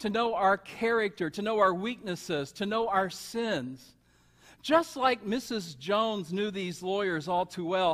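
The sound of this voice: Someone reads in an unforced reading voice.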